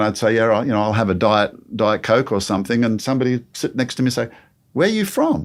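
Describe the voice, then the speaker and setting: A man's medium-pitched voice at a very fast pace. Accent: Australian. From Australia. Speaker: creation ministry speaker. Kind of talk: interview conversation.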